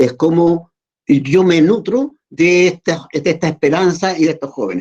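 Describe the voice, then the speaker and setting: A man with a Chilean accent, high in pitch, at a fairly slow pace with ordinary pitch variation. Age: 70s. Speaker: muralist artist. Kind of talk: interview. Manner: halting, with repetitions and fillers.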